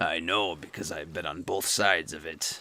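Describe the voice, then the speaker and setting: Over a silent background in a very clean recording, a man does a raspy, put-on character voice at a moderate pace. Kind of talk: pirate-talk storytelling. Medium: solo performance. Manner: playful, mock-pirate grammar.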